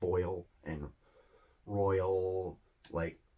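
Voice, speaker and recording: In a Midwestern accent, a man speaks with a very deep, low pitch and monotone, flat intonation on a very clean recording with a silent background. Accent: US Midwest. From US Midwest. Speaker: English teacher. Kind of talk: educational talk. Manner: casual, hesitant with many fillers.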